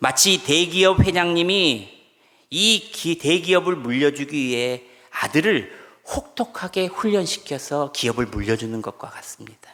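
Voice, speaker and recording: A man with a bright, sharp tone speaks at a fairly slow pace, his pitch fairly high. His intonation is lively and his loudness swings widely. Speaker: pastor. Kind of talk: sermon. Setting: church.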